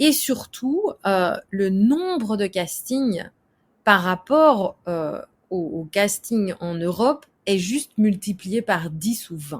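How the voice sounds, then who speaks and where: Somewhat breathy and very slow, a woman speaks at medium pitch with lively intonation in a very clean recording with a silent background. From Belgium. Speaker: actress and screenwriter. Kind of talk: interview. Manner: casual, with many fillers.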